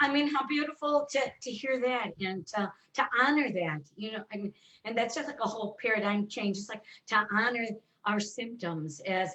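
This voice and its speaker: An ordinary speaking voice, this woman talks at a moderate pace in a fairly high pitch with lively intonation. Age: 60s. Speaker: colon therapist and author. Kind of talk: casual chat.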